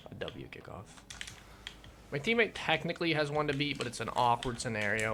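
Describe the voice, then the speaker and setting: With lively intonation and a bright, sharp tone, a man speaks at a moderate pace with vocal fry. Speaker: gaming youtuber and streamer. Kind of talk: gameplay commentary. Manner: casual, halting.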